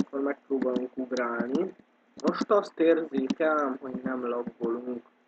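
This is an unremarkable speaking voice at a fairly slow pace, with ordinary pitch variation. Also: man, medium pitch for a man. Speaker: gaming youtuber. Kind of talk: gameplay commentary. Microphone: poor microphone, keyboard audible.

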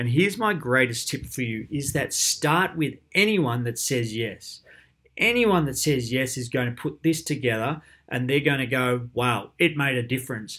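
A man talks at a moderate pace and a medium pitch with ordinary pitch variation and a bright, sharp tone. The recording is very clean with a silent background. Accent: Australian. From Australia, Geelong. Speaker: primary school PE teacher. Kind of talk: conference presentation. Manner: animated.

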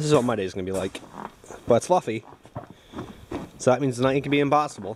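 The speaker is a man. Light background noise is present. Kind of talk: casual vlog chat. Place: garage. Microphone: phone near.

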